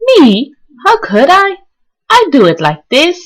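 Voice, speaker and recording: This is a squeaky put-on character voice. It moves at a fairly slow pace. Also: woman, extremely high pitch for a woman. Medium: read story.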